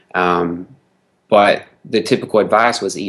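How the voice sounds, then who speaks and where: A man with a Southern US accent speaks at a fairly low pitch. His intonation stays fairly even against a quiet background. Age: 20s. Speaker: nutrition expert. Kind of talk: interview. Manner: hesitant, many fillers.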